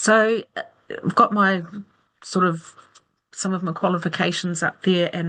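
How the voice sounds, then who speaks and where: Fairly even intonation at a fairly slow pace, in a New Zealand accent. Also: woman. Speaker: aromatherapist, nurse and academic presenter. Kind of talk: webinar lecture. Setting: video call webinar with screen share.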